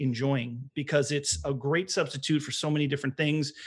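Here is a man with an American accent and a plain, everyday voice, speaking at a fairly quick pace in a fairly high pitch with fairly even intonation. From US Northeast (Long Island, New York). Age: 40s. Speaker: vegan baker and small business owner. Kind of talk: casual interview.

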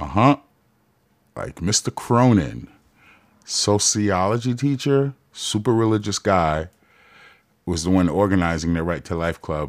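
Speaking in a Queens accent, the voice has an animated tone and lively intonation, moving at a fairly slow pace with long, frequent pauses. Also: man, fairly low pitch for a man. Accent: New York City (Queens). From Jamaica, Queens, New York. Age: 40s. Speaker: podcast host. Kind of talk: casual monologue.

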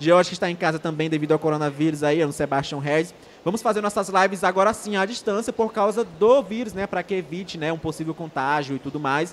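A man's high, animated voice at a very fast pace, with ordinary pitch variation and hardly any pauses. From Brazil, Maranhão. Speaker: online show host. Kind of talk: casual live-stream chat. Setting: live stream with remote co-host.

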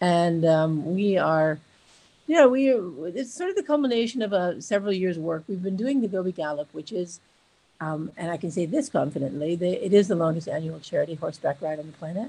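A woman's fairly low, dark and mellow voice moves at a fairly quick pace with lively intonation. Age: 60s. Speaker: charity founder and expedition rider. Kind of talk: casual interview.

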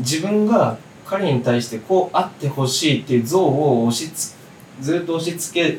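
A man at a moderate pace, fairly high in pitch, with lively intonation and noticeable background noise. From Okinawa, Japan. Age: 20s. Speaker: novelist and poet. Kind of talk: casual chat.

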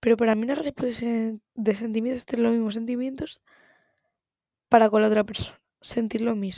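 A woman with a fairly high pitch speaks at a fairly quick pace in an animated tone, breaking often into long pauses. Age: 19. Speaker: podcaster. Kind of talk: casual monologue. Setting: home recording at night.

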